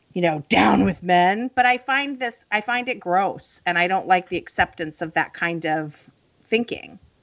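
Here a woman with an American accent speaks at a moderate pace and medium pitch. Her intonation is lively, and she has a normal speaking voice. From rural Illinois. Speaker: podcast host. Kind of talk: interview conversation.

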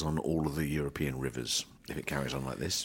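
There is vocal fry in this man's voice. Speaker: grain trader and podcast host. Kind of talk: market report and casual chat. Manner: fast.

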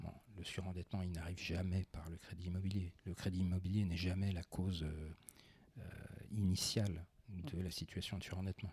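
A man's very deep, low voice, dark and mellow in tone and somewhat breathy, with monotone, flat intonation at a moderate pace. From France, Besançon. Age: 40s. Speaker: finance executive. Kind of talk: interview. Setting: in the host's living room.

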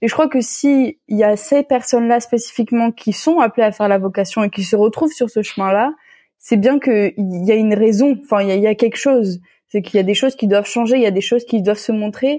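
Fairly high in pitch, a woman talks at a fairly quick pace in a dark, mellow tone, with very even loudness and ordinary pitch variation, on a very clean recording with a silent background. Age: 20s. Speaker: theology student. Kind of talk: casual chat.

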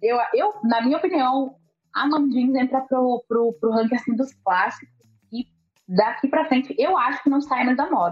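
Her voice high in pitch, a woman talks at a moderate pace with lively intonation and very even loudness. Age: 20s. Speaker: journalist and content creator. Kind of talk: casual interview chat.

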